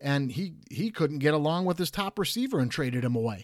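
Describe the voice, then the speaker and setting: A man with an American accent speaks at a moderate pace and a fairly high pitch. His intonation is lively, and the recording is very clean with a silent background. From Detroit, Michigan. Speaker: sports podcast host. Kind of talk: casual sports talk. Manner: animated.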